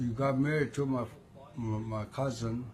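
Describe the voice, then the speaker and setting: Somewhat breathy, a man speaks at a very slow pace with a medium pitch and ordinary pitch variation. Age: 60s. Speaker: guitar player. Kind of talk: interview answer.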